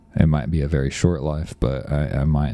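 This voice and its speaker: With noticeable background noise behind him, a man with an American accent speaks in a very deep, low pitch and a monotone, flat intonation. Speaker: software developer live-streaming. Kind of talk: casual live stream chat. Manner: hesitant, many fillers.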